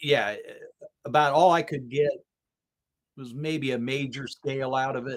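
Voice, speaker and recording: A man at a moderate pace with fairly even intonation and long, frequent pauses. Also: fairly high pitch for a man. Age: 60s. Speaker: guitarist and instrument builder. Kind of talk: casual chat. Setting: live stream. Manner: halting.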